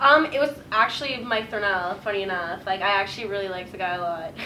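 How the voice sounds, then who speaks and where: A woman with a Canadian accent talks at a fairly quick pace and medium pitch, with ordinary pitch variation. Noticeable background noise and audible room echo fill the recording. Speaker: radio broadcasting graduate. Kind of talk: casual interview. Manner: loud.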